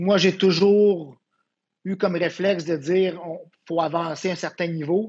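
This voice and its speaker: A high-pitched man with a Quebec accent speaks at a fairly slow pace with fairly even intonation. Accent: Québécois French. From Quebec (Quebec City area). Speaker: volleyball coach. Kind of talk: casual interview.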